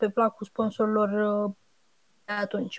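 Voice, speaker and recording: Here a woman speaks at a fairly high pitch and moderate pace. The recording is dry and close, with no echo. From Romania, Buzău. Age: 30s. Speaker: blogger and regional franchise director. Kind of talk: interview. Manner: halting.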